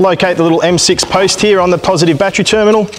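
Over music in the background, a man talks at a very fast pace with ordinary pitch variation. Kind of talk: tutorial. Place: workshop.

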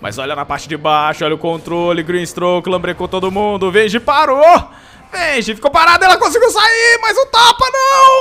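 Someone speaks at a moderate pace with noticeable background noise underneath. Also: man. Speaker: esports commentator. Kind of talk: live esports commentary, play-by-play of a Dota 2 match. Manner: jokey and playful, teasing players with banter.

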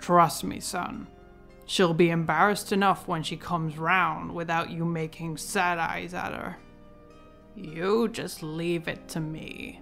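Putting on a character voice at a fairly low pitch, a woman speaks fairly slowly over clear music in the background. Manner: grumbling, folksy, fatherly.

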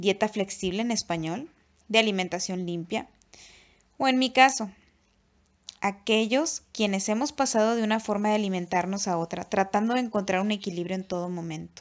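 A woman talks at a moderate pace with a medium pitch. Her pauses are long and frequent. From Mexico, Nuevo Laredo, Tamaulipas. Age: 30s. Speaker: YouTuber and author. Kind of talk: reading aloud.

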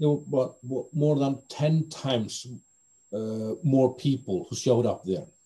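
A man with an Icelandic accent speaks at a very slow pace against a quiet background. His medium-pitched voice is somewhat breathy and dark and mellow in tone, with ordinary pitch variation. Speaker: BDSM community organizer; interviewee. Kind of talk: interview. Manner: halting. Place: home room. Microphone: video call.

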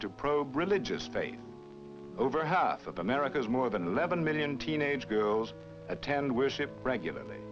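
A man talks at a moderate pace with clear music playing in the background. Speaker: documentary narrator. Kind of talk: narration.

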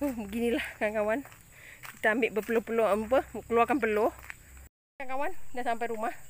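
Her pitch is fairly high, and this woman talks at a very fast pace. She leaves long, frequent pauses. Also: ordinary pitch variation. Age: old. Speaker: vlogger. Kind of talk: walking vlog. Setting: outdoors. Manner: casual, chatty.

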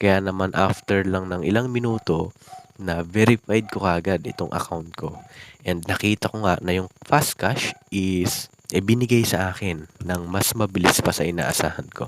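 A man with a very deep, low voice. His pitch moves in an ordinary way. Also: moderate pace. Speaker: YouTube vlogger. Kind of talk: tutorial. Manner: casual with many fillers.

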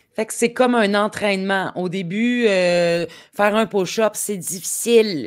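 On a very clean recording with a silent background, a woman at medium pitch talks fairly slowly with fairly even intonation. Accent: Quebec. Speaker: podcast host. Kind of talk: casual interview.

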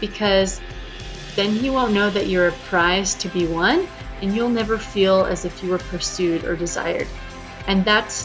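With clear music playing in the background, a woman talks at a moderate pace and with ordinary pitch variation. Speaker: dating advice vlogger. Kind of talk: casual vlog chat. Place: home room. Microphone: webcam.

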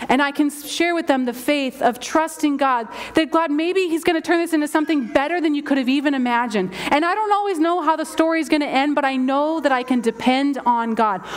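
A high-pitched woman with an American accent, fairly quick pace, hardly any pauses and ordinary pitch variation. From Southern California. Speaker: pastor. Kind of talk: sermon. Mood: heartfelt, personal testimony. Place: church. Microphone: headset.

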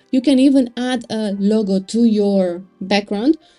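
Faint music plays in the background while the speaker talks at a fairly slow pace with ordinary pitch variation. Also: woman. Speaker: web design tutor. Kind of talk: tutorial.

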